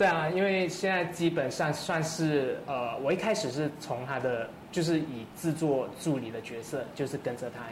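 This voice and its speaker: Amid noticeable background noise and audible room echo, a man talks with hardly any pauses and ordinary pitch variation. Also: fairly high pitch for a man, moderate pace. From Malaysia, Kuala Lumpur. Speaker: singer-songwriter. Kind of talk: casual chat.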